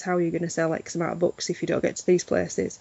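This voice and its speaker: A woman's fairly low voice with a Yorkshire accent. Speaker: literary festival organiser. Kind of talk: interview.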